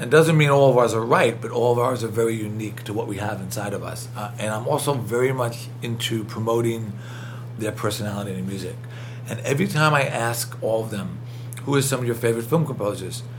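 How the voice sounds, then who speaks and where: Talking at a very fast pace with a strong New York accent, a man keeps his intonation fairly even at a medium pitch over noticeable background noise. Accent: thick New York. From New York City (Queens). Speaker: film composer and professor. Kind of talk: interview. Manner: fast talker.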